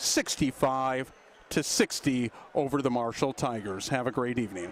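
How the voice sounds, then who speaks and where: The clip features an ordinary speaking voice. Its pitch varies in an ordinary way at a moderate pace. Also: man, medium pitch for a man. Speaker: basketball play-by-play announcer. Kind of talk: live sports commentary sign-off.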